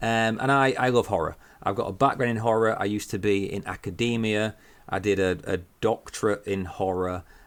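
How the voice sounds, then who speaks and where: A man's fairly low voice at a fairly quick pace, fairly even in intonation, on a very clean recording with a silent background. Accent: northern English. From northern England. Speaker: horror podcaster and writer. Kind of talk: casual chat.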